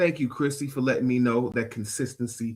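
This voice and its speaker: A somewhat breathy voice comes through on a very clean recording with a silent background. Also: man. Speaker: podcast and radio show host. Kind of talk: motivational talk on a live stream. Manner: sometimes trips over words.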